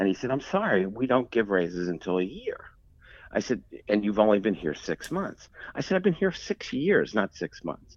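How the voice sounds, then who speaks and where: A plain, everyday voice: a man with an American accent, medium pitch, moderate pace. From Philadelphia, US. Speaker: textile industry executive. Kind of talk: interview.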